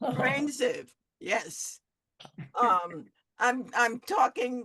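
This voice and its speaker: Speaking very slowly, a woman uses a high pitch and a bright, sharp tone, with very wide pitch swings. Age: 70s. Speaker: podcast host. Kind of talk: casual group discussion. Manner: halting, repetitive.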